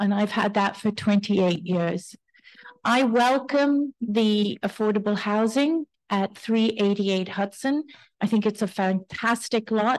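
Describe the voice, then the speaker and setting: A woman with a plain, everyday voice speaks fairly slowly at a medium pitch with ordinary pitch variation, against a quiet background. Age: 60s. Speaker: shop owner. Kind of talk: public comment at community board hearing. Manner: casual.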